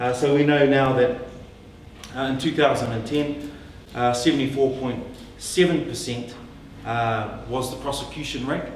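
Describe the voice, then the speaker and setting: Speaking at a moderate pace with fairly even intonation and long, frequent pauses, the voice comes through with audible room echo and noticeable background noise. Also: man, medium pitch for a man. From New Zealand, Northland (Māori). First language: Māori. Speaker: politician. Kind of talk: public talk. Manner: hesitant, many fillers.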